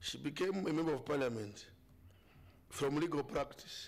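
At a moderate pace, a man speaks with vocal fry, a fairly high pitch and ordinary pitch variation.

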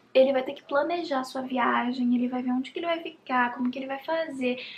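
With noticeable background noise behind her, a woman talks at a fairly quick pace in a high pitch and fairly even intonation. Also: big swings in loudness. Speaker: YouTuber. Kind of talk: casual vlog talk to camera.

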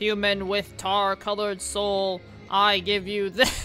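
Over clear background music, a female-sounding speaker uses a put-on character voice at medium pitch for a woman and a fairly slow pace.

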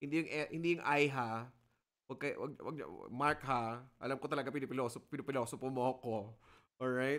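A man speaks with an animated tone at a fairly quick pace. His pitch sits in the medium range. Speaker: lecturer. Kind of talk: lecture. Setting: video call.

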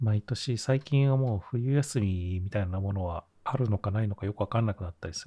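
A man with a fairly low pitch and a dark, mellow, somewhat breathy tone speaks at a moderate pace. The recording is very clean with a silent background, and the sound is dry and close with no echo. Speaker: podcast co-host. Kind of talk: casual chat.

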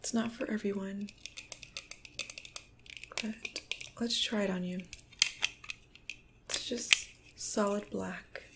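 Speech comes at a very slow pace in monotone, flat intonation, with long, frequent pauses. Loud background noise runs underneath. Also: woman. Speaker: ASMR creator. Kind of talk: ASMR role play. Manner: soft-spoken, calming, whispery.

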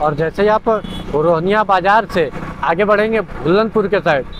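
A man with a high pitch and a fairly bright tone speaks with ordinary pitch variation over faint background noise. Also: moderate pace.

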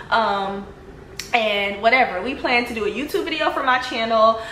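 A woman's lively-toned voice with audible room echo and light background noise. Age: 20s. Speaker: social media personality. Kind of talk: testimony; casual storytelling vlog. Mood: animated, telling personal drama. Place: home room. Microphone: phone near.

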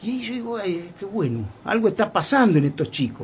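Speech moves at a fairly slow pace. Its pitch rises and falls very widely. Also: man. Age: 60s. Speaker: foundation president. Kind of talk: interview.

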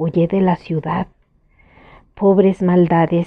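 With a fairly low pitch, a woman speaks in a flat monotone at a fairly slow pace. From Mexico. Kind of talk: poetry reading.

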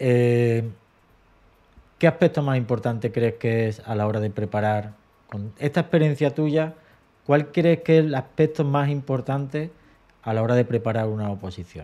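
Using a dark, mellow tone and medium pitch, a man talks at a moderate pace with ordinary pitch variation and long, frequent pauses. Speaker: teacher and exam-prep channel host; teacher, exam-prep channel host. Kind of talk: casual interview. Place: home room.

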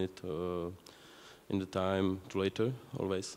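A man with a French accent, a dark, mellow tone and a very slow pace. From France. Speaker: software engineer, conference speaker. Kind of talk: conference talk. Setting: stage with audience, microphone. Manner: halting, with fillers and repetitions. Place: hall.

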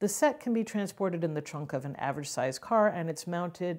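A woman with a normal speaking voice, fairly low in pitch, at a fairly quick pace with lively intonation. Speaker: theatre director. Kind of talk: presentation pitch.

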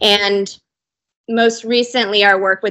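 A woman with a Californian accent, speaking at a fairly slow pace in a flat monotone. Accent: Californian American English. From US, Southern California. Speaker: sustainable materials company representative. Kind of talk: interview. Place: office. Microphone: video call.

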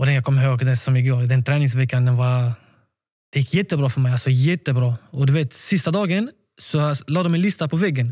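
Over a quiet background, a man talks at a fairly quick pace in a dark, mellow, somewhat breathy tone with ordinary pitch variation. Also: very even loudness. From Sweden, Malmö; Sweden. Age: 20s. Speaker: professional footballer; podcast guest. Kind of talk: interview. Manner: halting, repeats words. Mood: animated, candid, at times defiant. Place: home room. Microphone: studio mic.

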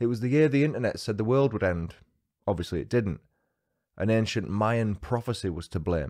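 Against a quiet background, a man with a dark, mellow tone and a fairly low pitch talks at a fairly quick pace with lively intonation. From UK. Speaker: true crime podcaster. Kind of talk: scripted narration. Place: home room. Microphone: studio mic.

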